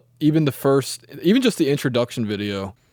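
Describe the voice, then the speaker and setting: On a very clean recording with a silent background, a man talks at a fairly quick pace. His pitch is fairly high. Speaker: politician interviewer. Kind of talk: interview. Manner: halting, many fillers.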